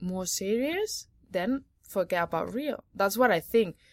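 Speaking with a Spanish accent, a woman talks at a fairly slow pace with ordinary pitch variation. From Catalonia, Spain. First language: Spanish or Catalan. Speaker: sports journalist. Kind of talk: casual chat. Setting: on location at a tennis tournament.

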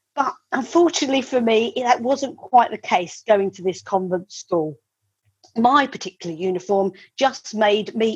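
In a southern English accent, a woman speaks at a moderate pace with a fairly high, somewhat breathy voice. Her intonation is lively and her loudness swings widely. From Kent, England (Medway). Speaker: property and image consultant. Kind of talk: storytelling; interview. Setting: video call.

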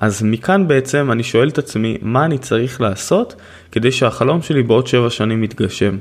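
This is an ordinary speaking voice, a man's at medium pitch. He talks at a moderate pace with ordinary pitch variation. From Israel, Haifa. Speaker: podcast host and author. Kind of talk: solo podcast monologue.

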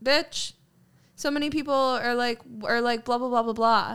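On a very clean recording with a silent background, a woman with a plain, everyday voice talks at a fairly quick pace, her pitch fairly high with ordinary variation. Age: 20s. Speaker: podcast co-host. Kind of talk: casual chat.

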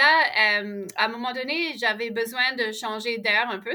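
The pace is very slow. The woman's pitch sits fairly high. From Ottawa, Canada. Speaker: outdoor program founder. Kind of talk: interview.

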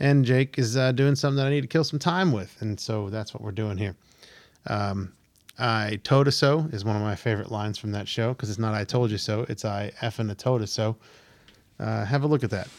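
On a very clean recording with a silent background, a man with an American accent and an unremarkable speaking voice talks at a fairly quick pace, medium in pitch, with ordinary pitch variation. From Pennsylvania. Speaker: podcast host. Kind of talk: casual chat.

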